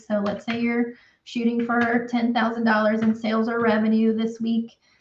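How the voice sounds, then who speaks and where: Speaking at a moderate pace, a woman with a Southern US accent uses a fairly high pitch. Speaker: accountant for construction businesses. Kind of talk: tutorial. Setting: live stream. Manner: casual, with many fillers.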